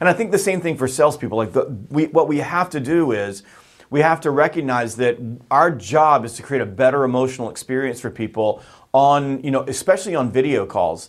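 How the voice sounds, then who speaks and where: A normal speaking voice with lively intonation and a fairly quick pace. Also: man, fairly high pitch for a man. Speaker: sales author and trainer. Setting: video call.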